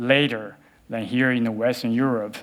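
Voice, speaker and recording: The speaker is a man. He talks with a Chinese accent. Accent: Chinese (Mandarin). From Beijing, China. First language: Mandarin Chinese. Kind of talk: TEDx talk.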